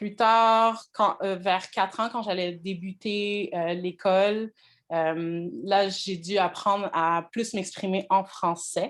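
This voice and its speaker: Her pace is very slow. The woman keeps a medium pitch and fairly even intonation. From Quebec, Montreal. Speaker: language teacher. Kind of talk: online class introduction. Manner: hesitant, many fillers.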